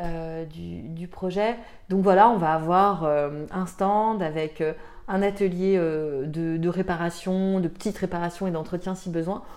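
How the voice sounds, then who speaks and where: A woman's medium-pitched voice with ordinary pitch variation at a very slow pace. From France, Tarn. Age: 30s. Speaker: association founder. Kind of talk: interview. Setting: at her home. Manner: halting, many fillers.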